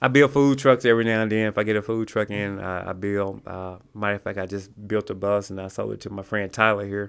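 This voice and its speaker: With a Southern US accent, this speaker rushes along at a very fast pace with hardly any pauses, keeping intonation fairly even while loudness swings widely. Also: man, fairly low pitch for a man. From Mississippi. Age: 50s. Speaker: small business owner. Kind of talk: casual chat.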